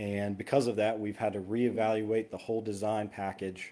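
At a moderate pace, a man speaks with a fairly low pitch and a dark, mellow tone. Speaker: engineering consultant presenting projects. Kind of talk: presentation to town council. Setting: town council meeting.

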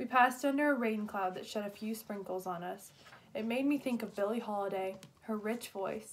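This is a natural reading voice. The pitch shows ordinary variation.

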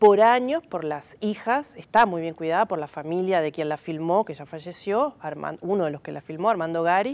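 The speech moves at a fairly quick clip. Its intonation is lively. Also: woman. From Uruguay, Montevideo (Cerro); Uruguay. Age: 40s. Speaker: film researcher and teacher; teacher. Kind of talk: TV interview. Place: studio. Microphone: lapel.

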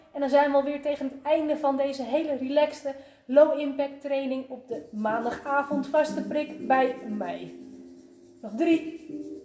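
Faint music plays behind a woman who speaks fairly slowly in a high voice, with audible room echo. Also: fairly even intonation. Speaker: fitness instructor. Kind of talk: workout class instruction. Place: gym. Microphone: camera far.

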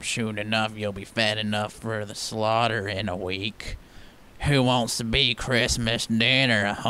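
A cartoonish character voice at a fairly slow pace, with clear background noise. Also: man, medium pitch for a man. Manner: mocking, gleeful.

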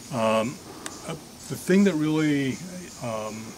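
A man speaks at a moderate pace with noticeable noise in the background. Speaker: walk guide. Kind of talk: guided tour talk. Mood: reflective, calm. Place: forest. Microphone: camera far.

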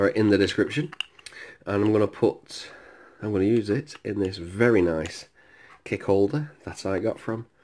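The speaker keeps a moderate pace, with long, frequent pauses. Light background noise sits underneath. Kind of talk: casual tutorial commentary. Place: home room. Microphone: phone near.

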